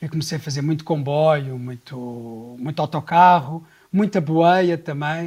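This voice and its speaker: A man speaks at a fairly slow pace in a fairly high, somewhat breathy voice with ordinary pitch variation. His loudness swings a lot, and the recording is very clean with a silent background. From Portugal, Sintra area. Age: 40s. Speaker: travel leader. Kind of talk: casual interview.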